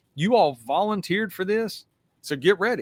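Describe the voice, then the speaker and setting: In a Southern US accent, a man talks at a moderate pace with ordinary pitch variation, the recording very clean with a silent background and a dry, close sound with no echo. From US South. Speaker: retired police detective. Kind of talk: podcast interview. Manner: casual, animated.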